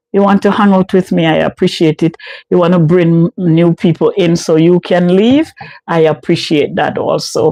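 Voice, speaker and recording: In a Jamaican accent, a woman with a dark, mellow tone and fairly low pitch speaks at a moderate pace, with fairly even intonation and very even loudness, in a dry, close sound with no echo. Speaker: live streamer, home care case manager. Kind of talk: casual live stream chat. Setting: live stream.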